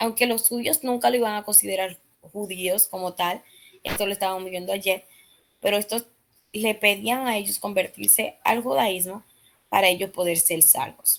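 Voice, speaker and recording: A woman talks at a moderate pace, broken by long, frequent pauses. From Dominican Republic. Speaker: Bible study teacher. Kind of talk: Bible study lesson. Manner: hesitant, many fillers.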